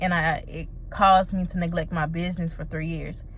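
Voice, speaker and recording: In an ordinary speaking voice, a woman talks at a moderate pace and a medium pitch. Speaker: small business owner vlogger. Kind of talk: casual vlog monologue.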